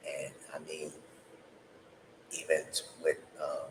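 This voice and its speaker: A man with an American accent. His pitch is extremely high. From Harlem, New York City. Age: 40s. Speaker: stand-up comedian. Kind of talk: casual podcast talk. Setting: home recording. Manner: blunt, cynical.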